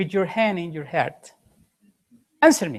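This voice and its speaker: Speaking at a moderate pace, a woman lets her pitch swing very widely. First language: Spanish. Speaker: conference presenter. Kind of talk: conference presentation. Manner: halting.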